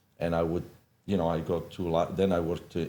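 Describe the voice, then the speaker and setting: A man with an Italian accent, a very deep, low pitch and a dark, mellow tone, at a fairly quick pace with monotone, flat intonation. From Italy. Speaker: hairdresser and salon owner. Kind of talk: podcast interview. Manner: halting, many fillers.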